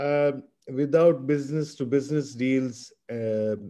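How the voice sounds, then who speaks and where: Speaking at a fairly slow pace, a man with a dark, mellow tone shows ordinary pitch variation. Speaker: energy expert panelist. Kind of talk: panel webinar presentation. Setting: video call webinar.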